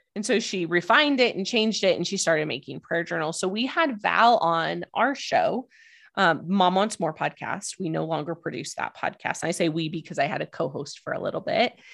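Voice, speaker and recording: A woman speaks in an ordinary speaking voice at a medium pitch. The background is quiet. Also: fairly quick pace, hardly any pauses. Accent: American. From US, Idaho. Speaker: podcast coach. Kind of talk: interview.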